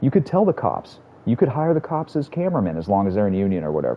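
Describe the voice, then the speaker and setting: A man with a fairly low pitch talks loudly at a very fast pace. His tone is animated, with very wide pitch swings. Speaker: gaming streamer. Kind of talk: live stream chat while gaming. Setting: live stream.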